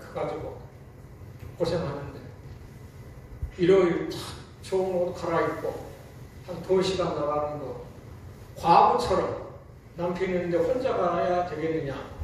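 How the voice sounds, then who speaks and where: The speech moves at a very slow pace. There is noticeable background noise and audible room echo. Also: man. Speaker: church deacon. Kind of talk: testimony.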